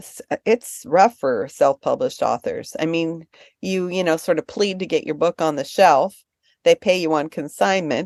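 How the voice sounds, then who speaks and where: A woman with an ordinary speaking voice, fairly low in pitch, at a moderate pace, in a dry, close sound with no echo and a quiet background. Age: 60s. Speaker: book publisher. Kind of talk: interview answer.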